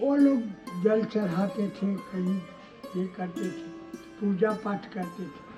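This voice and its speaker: Music plays in the background and the room echo is audible. The pitch varies in an ordinary way. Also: man. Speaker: sadhu. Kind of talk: spiritual discourse. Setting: ashram. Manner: soft-spoken.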